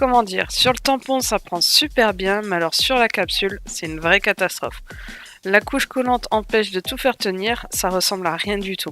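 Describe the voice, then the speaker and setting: Female voice, pitch moving in an ordinary way, music playing behind it. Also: medium pitch for a woman, moderate pace. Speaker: nail art tutorial creator. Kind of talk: tutorial voice-over.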